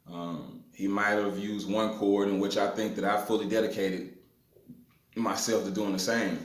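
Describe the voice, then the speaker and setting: A man with a Mississippi accent speaks at a moderate pace, his pitch fairly low and his intonation fairly even. Audible room echo and noticeable background noise fill the recording. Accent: Mississippi Southern US. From US South, north Mississippi hill country. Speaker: blues guitarist. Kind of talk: guitar tutorial. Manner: casual with filler words.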